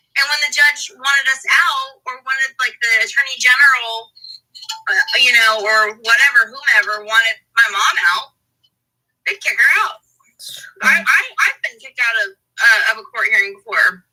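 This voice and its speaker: Raising and projecting her high voice, a woman speaks at a moderate pace in a bright, sharp tone, with big swings in loudness and long, frequent pauses. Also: lively intonation. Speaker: podcast host. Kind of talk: podcast interview.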